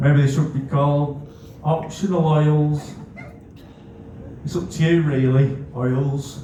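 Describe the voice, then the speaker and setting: A man with a Scouse accent speaks in a flat monotone at a fairly high pitch and a very slow pace, with long, frequent pauses, noticeable background noise and audible room echo. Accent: northwest England (Scouse). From northwest England, Netherton, Bootle (Merseyside). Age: 40s. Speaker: comedian. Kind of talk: stand-up.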